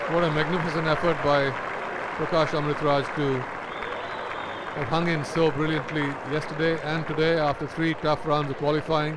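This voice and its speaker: Over crowd noise in the background, a man talks at a moderate pace with a fairly high pitch. His intonation is monotone and flat, and his loudness stays very even. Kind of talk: live commentary. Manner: analytical co-commentator, comments on the rallies.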